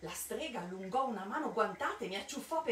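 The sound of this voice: Lively intonation in an unforced reading voice.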